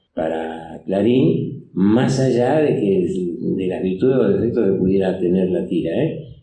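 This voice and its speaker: A man with a very deep, low pitch speaks in a dark, mellow tone at a fairly slow pace. Audible room echo is present. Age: 80s+. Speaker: comic artist. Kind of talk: public interview. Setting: stage with audience. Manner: halting, many fillers.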